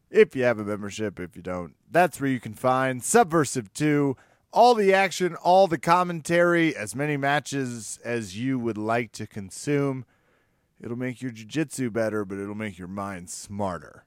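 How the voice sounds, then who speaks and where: At a moderate pace and medium pitch, a man uses an animated tone with very wide pitch swings and big swings in loudness, captured in a very clean recording with a silent background and a dry, close sound with no echo. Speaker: podcast host. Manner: joking, animated.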